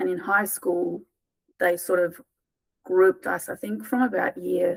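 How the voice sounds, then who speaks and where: A woman with a South African accent at a fairly slow pace. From South Africa, small town. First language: Afrikaans. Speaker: tutoring business founder. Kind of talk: interview conversation. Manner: hesitant, many fillers and repeats.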